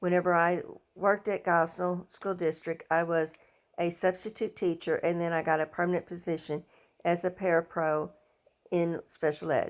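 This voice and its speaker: In a very clean recording with a silent background, a woman speaks at a moderate pace. Her voice is fairly low, with monotone, flat intonation. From southern Illinois and Missouri Bootheel / Arkansas. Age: 60s. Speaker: education student and former teaching aide. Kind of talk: personal introduction, self-presentation. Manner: halting, some self-corrections.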